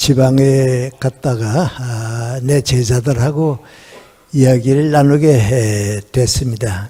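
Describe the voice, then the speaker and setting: A man's very slow speech, medium in pitch with ordinary pitch variation, amid noticeable background noise. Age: 80s+. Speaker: philosopher and professor. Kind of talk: lecture.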